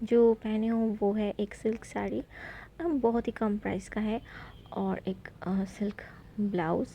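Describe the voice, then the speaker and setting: A woman's somewhat breathy voice, dark and mellow in tone, at a fairly high pitch with a non-native accent. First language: not Hindi (speaking Hindi). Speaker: beauty vlogger. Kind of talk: makeup tutorial vlog. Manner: halting, many fillers.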